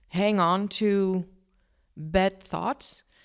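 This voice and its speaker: A woman speaks with a non-native accent at a medium pitch. The recording is very clean, with a silent background. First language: not English. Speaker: podcast host. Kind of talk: casual solo podcast talk. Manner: stumbles over words often.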